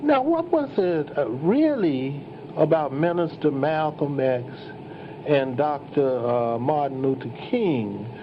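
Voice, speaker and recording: Over noticeable background noise, a man speaks at a fairly high pitch and a fairly slow pace. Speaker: playwright and historian. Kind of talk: historical lecture. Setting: live event. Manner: hesitant, with fillers.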